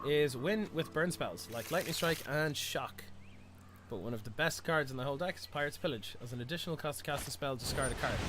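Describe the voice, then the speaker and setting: A man's fairly high, lively voice at a fairly quick pace, dry with no echo, with clear music in the background. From Ireland, Bray in County Wicklow; Ireland. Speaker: game streamer. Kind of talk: live gameplay stream commentary. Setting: live stream. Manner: casual, hesitant with many fillers. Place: home room.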